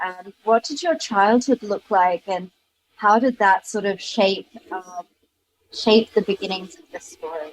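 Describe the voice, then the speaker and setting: A woman with a British accent at a medium pitch and moderate pace, ordinary pitch variation, and a dry, close sound with no echo. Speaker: podcast host. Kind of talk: podcast interview.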